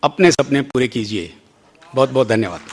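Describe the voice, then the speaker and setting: A man's voice with ordinary pitch variation. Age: 60s. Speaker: company founder. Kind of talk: motivational speech.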